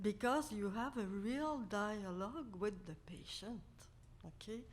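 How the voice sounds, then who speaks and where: A woman speaks very slowly in a fairly high, somewhat breathy voice with ordinary pitch variation and audible room echo. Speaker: conference speaker. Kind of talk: conference talk.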